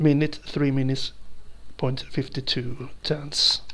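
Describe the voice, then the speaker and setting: A Swedish accent at a very slow pace. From Sweden. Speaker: video game reviewer. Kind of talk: gameplay commentary. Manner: animated.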